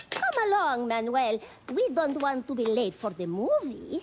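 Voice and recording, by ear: This cartoonish character voice sounds female and is pitched high. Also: moderate pace.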